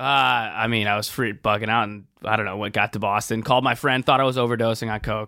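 A man at a medium pitch, talking very fast with fairly even intonation and hardly any pauses. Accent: American. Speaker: comedian. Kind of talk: casual chat.

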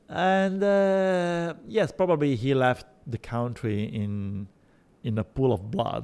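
In a very clean recording with a silent background, a man with an Italian accent talks very slowly, his pitch swinging very widely. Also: medium pitch for a man. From Sicily, Italy. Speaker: journalist. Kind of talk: interview. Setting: restaurant. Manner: halting.

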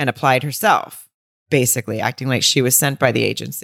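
The very clean recording has a silent background and a dry, close sound with no echo, and the intonation stays fairly even. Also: woman. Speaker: podcast co-host. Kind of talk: casual chat about a film.

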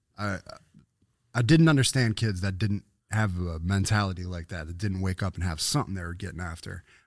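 On a very clean recording with a silent background, a man talks at a fairly quick pace in a very deep, low pitch with ordinary pitch variation. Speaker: podcast guest with a music background. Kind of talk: casual chat.

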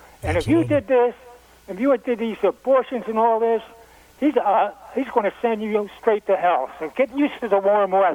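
A man's high-pitched voice with ordinary pitch variation, set against noticeable background noise. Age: 80s+. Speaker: caller. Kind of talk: casual chat.

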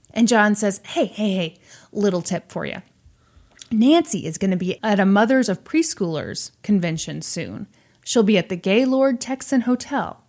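In an American accent, a woman with an ordinary speaking voice talks at a moderate pace and medium pitch, her intonation lively, on a very clean recording with a silent background. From US Midwest, Missouri. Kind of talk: casual storytelling chat.

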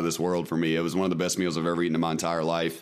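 A man with a Mississippi accent in a very clean recording with a silent background. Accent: Southern US (Mississippi). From US South (Mississippi). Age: 20s. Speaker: former prisoner and streamer. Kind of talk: casual chat.

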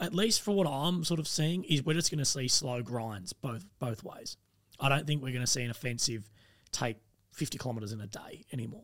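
With an Australian accent, a man speaks at a fairly quick pace. His medium-pitched voice has lively intonation. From Australia, rural Victoria. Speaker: army veteran. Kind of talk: casual chat.

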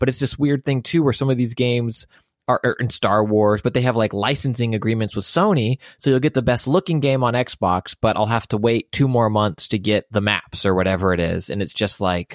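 With a plain, everyday voice at a medium pitch, a man talks at a moderate pace with ordinary pitch variation and very even loudness, in a dry, close sound with no echo against a quiet background. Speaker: podcast co-host and comedian. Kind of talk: casual chat.

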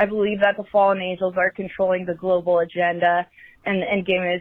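At a fairly quick pace, a woman speaks at a medium pitch with monotone, flat intonation. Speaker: caller. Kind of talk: voicemail story. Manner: fast.

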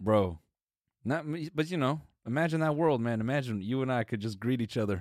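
A man with an American accent and a normal speaking voice, medium pitch, lively intonation and a fairly quick pace. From US Midwest, Missouri. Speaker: podcast co-host. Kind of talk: casual chat.

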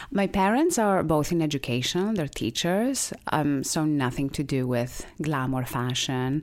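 A woman with a Greek accent and a very deep, low pitch speaks with lively intonation and hardly any pauses. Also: fairly slow pace, very even loudness. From Greece, small island. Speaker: beauty brand founder. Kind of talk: interview.

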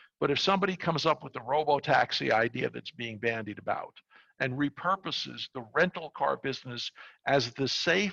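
Over a quiet background, with a dry, close sound and no echo, a man with an American accent talks at a moderate pace in a bright, sharp tone, using very wide pitch swings and vocal fry. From New York, Brooklyn. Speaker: technology executive and board advisor. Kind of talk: casual interview.

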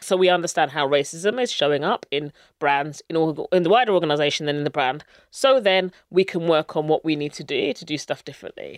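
Fairly low in pitch, a woman with a southern English accent speaks at a fairly quick pace with lively intonation. The sound is dry and close with no echo, on a very clean recording with a silent background. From England (Luton). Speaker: brand strategy consultant. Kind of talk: interview.

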